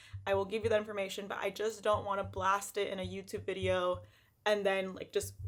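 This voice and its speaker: A woman's shaky voice. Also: very clean recording, silent background. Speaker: lifestyle vlogger. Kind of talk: casual vlog monologue.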